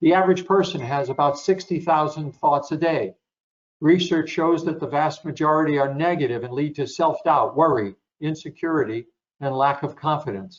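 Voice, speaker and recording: A man's fairly high voice with ordinary pitch variation, a plain, everyday voice. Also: moderate pace. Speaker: sports psychologist. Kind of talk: webinar presentation.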